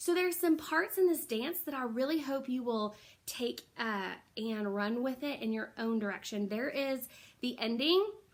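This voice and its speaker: Lively in intonation, a woman with a high voice speaks at a moderate pace. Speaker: dance teacher. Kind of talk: tutorial. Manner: casual, with many fillers.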